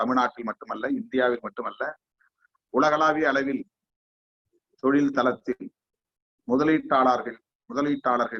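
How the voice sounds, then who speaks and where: This is a normal speaking voice. It has ordinary pitch variation. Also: man, fairly high pitch for a man. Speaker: guest speaker. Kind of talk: formal speech. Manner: formal.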